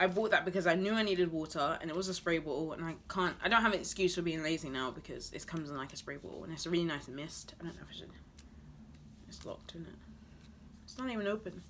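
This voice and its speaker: A woman talks very fast in a fairly low pitch, her loudness swinging widely and her pitch varying in an ordinary way. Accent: British. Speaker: beauty and lifestyle vlogger. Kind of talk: product haul review. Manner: casual, chatty.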